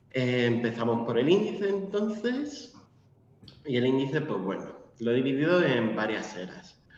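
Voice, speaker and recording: Noticeable background noise and audible room echo surround a man whose pitch swings very widely. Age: 20s. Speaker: literature lecturer. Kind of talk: lecture.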